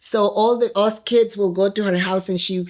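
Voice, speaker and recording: Moderate in pace, a woman speaks at medium pitch with fairly even intonation. The recording is very clean, with a silent background. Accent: Spanish. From Guatemala. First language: Spanish. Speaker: trafficking survivor. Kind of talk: interview testimony. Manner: halting.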